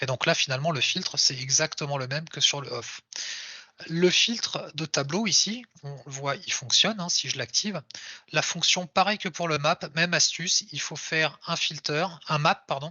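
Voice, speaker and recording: The man's fairly high voice shows ordinary pitch variation. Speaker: software developer giving a tech talk. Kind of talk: live coding talk. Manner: fast; casual with hesitations.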